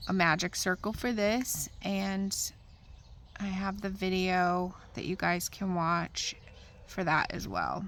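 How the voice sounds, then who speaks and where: A woman talks with a normal speaking voice, fairly even in intonation. Her pitch is medium. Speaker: crochet teacher. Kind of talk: tutorial.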